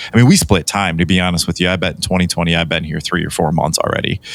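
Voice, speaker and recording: Noticeable background noise behind a man with an American accent. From Michigan (Metro Detroit). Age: 40s. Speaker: podcast co-host. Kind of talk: casual chat. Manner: hesitant, many fillers.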